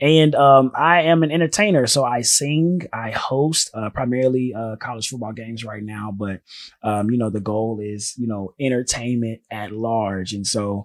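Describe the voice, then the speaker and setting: A man with a normal speaking voice talks at a moderate pace and medium pitch, with hardly any pauses. His pitch varies in an ordinary way while his loudness swings widely. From US South, North Carolina. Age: 20s. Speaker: singer and entertainer. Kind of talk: casual interview.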